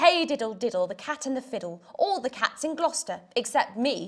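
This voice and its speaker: A woman speaks in a put-on character voice. Her pitch is high and her pace moderate. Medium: read story. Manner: plaintive, mewing.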